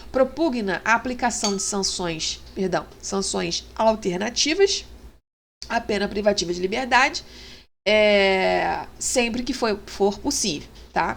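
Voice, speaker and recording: A woman's very slow speech at medium pitch, with vocal fry and ordinary pitch variation. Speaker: law teacher. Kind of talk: lecture. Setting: online class with screen share. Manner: hesitant, many fillers.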